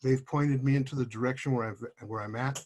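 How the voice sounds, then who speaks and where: A somewhat breathy man's voice, medium in pitch, with fairly even intonation. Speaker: patient advocate, person with tetraplegia. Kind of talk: panel introduction. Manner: soft-spoken, quiet. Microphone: too quiet, far from mic.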